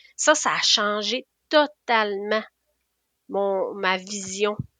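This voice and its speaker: With a Quebec accent and lively intonation, a woman speaks at medium pitch in a bright, sharp tone, recorded dry and close with no echo against a quiet background. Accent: Québécois French. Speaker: nurse. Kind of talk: interview conversation. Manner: halting.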